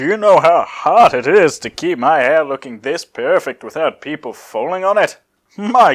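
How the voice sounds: A natural reading voice with a quiet background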